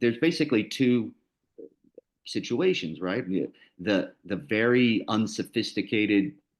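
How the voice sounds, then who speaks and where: Against a quiet background, a man with an American accent speaks at a medium pitch with lively intonation. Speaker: lawyer and arbitrator. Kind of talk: panel presentation. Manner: casual, many fillers and repetitions.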